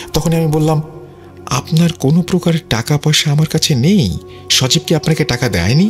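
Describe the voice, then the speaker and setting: Music plays behind a man with a fairly high voice. His loudness stays very even. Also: ordinary pitch variation. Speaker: radio host and horror story narrator. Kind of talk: horror radio storytelling, first-person narration. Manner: narrating calmly, conversational.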